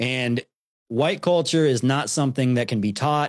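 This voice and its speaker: Here is a man with a normal speaking voice. His medium pitch shows ordinary variation. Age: 30s. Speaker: YouTube channel host, guest. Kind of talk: casual interview chat.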